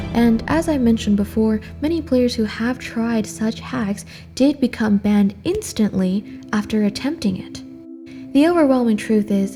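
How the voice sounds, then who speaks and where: Music plays behind a woman speaking at a moderate pace. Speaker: mobile game commentator. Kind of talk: podcast-style commentary.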